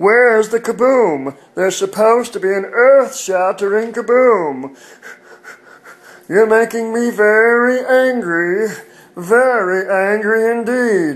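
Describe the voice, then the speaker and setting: Putting on a character voice, a man talks at a fairly slow pace with a high pitch. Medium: voice reel. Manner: polite, prim, calmly indignant.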